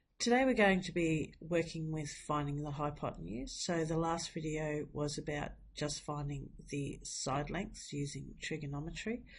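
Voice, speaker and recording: Her pitch is very deep and low, and her voice is somewhat breathy. This woman talks at a fairly slow pace with ordinary pitch variation. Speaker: maths teacher. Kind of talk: maths tutorial. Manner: casual, chatty.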